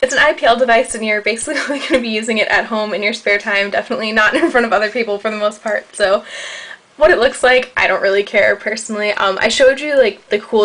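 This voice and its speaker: Speaking at a very fast pace, a woman talks with an American accent. Noticeable background noise runs behind her. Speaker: beauty vlogger. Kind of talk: product review vlog. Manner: casual, many fillers.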